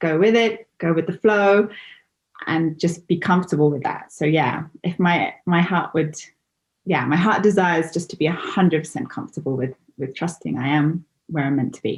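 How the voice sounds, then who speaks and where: Speaking with an English accent, the voice is somewhat breathy. The pace is moderate and the pitch varies in an ordinary way. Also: woman. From England. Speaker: interview guest. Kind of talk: interview. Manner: halting.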